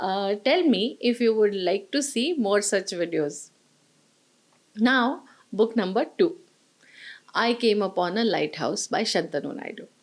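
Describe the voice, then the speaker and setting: A woman speaks in a Marathi accent with a fairly high voice and lively intonation. She keeps a fairly slow pace with long, frequent pauses. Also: very clean recording, silent background. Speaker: book reviewer. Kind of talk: book review monologue.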